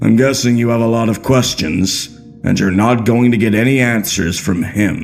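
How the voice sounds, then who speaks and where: Clear music plays in the background as a man uses a put-on character voice. He speaks in a medium pitch at a moderate pace. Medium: read story. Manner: wry, measured, with a hidden temper.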